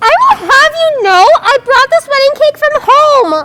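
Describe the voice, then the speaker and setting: Using a put-on character voice, a woman squeaks at an extremely high pitch with very wide pitch swings, very even loudness and a fairly slow pace in a dry, close sound with no echo. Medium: stage play. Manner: whiny, naive.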